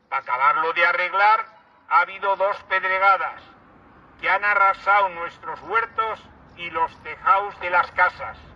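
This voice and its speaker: There is noticeable background noise. Through it, a man talks at a fairly slow pace. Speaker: town crier. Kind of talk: rhymed festival proclamation.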